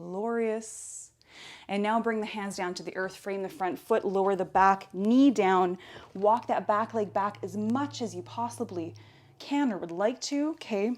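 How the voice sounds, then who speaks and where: A woman of medium pitch speaks at a fairly slow pace with ordinary pitch variation in an unremarkable speaking voice, on a very clean recording with a silent background. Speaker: yoga instructor. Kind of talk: guided yoga class. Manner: calm, instructive.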